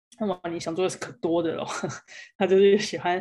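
With a Taiwanese accent, a woman speaks in a fairly low pitch and fairly even intonation. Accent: Taiwanese Mandarin. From Taiwan, Kaohsiung. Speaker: sports agency founder, former basketball player. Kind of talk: interview / presentation talk.

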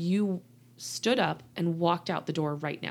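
In a very clean recording with a silent background, a woman with an American accent speaks at a fairly low pitch in a warm tone and at a moderate pace. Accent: Southern US, slight and shifting. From Louisiana, US South. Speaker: podcast host and coach for people leaving narcissists. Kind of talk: solo podcast monologue, coaching talk. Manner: warm, conversational.

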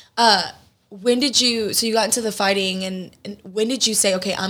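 A woman with an unremarkable speaking voice talks at a fairly quick pace, her intonation fairly even. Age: 30s. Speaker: podcast host. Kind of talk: casual chat.

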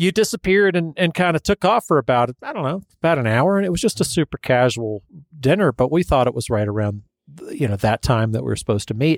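A man with a fairly high voice talks at a very fast pace, his pitch swinging very widely. The recording is very clean and dry, with a silent background and no echo. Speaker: podcast host, mixed media artist. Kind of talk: casual interview chat.

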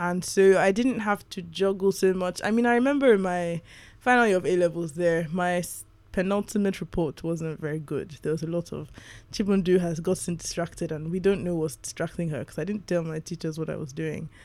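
A fairly quick pace of speech with music in the background. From Nigeria, Lagos. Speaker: novelist. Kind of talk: interview.

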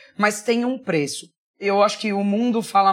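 Using a plain, everyday voice, a woman speaks at a moderate pace with fairly even intonation on a very clean recording with a silent background. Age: 40s. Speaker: marketing executive. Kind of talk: interview.

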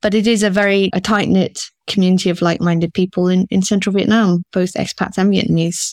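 A woman's very fast speech at medium pitch in a southern English accent, with a dry, close sound and no echo. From southern England, rural Oxfordshire; teens in Singapore. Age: 50s. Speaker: school founder and director. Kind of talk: casual interview.

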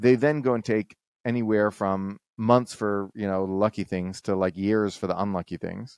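With an American accent, a man speaks in an unremarkable speaking voice at a moderate pace and fairly low pitch, his intonation fairly even, in a dry, close sound with no echo and a quiet background. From Texas. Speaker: economist. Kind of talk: casual chat.

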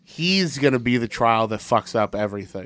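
A man talks at a medium pitch and a fairly quick pace. Noticeable background noise runs underneath. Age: 30s. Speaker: comedy podcast host. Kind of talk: casual chat.

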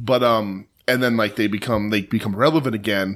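On a very clean recording with a silent background, a man talks at a fairly quick pace and medium pitch with ordinary pitch variation, an ordinary speaking voice. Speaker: podcast co-host. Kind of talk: casual chat.

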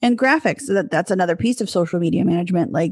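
A woman with a normal speaking voice talks at a fairly low pitch with ordinary pitch variation. The sound is dry and close with no echo, over a quiet background. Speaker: podcast host, business manager. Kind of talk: casual conversational podcast.

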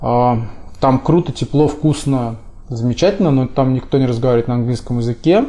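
At a moderate pace, a man with a medium pitch and a dark, mellow tone speaks with ordinary pitch variation and very even loudness. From Russia. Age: 30s. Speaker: website founder and entrepreneur. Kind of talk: podcast interview.

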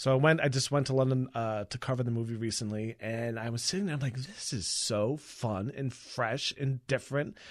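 A man with an American accent has an ordinary speaking voice at medium pitch. He speaks at a moderate pace. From Long Island, New York. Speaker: entertainment reporter. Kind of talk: casual chat.

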